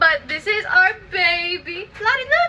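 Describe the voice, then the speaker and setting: A woman's raised, projected voice amid noticeable background noise. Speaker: lifestyle vlogger. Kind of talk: casual vlog chat. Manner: fast.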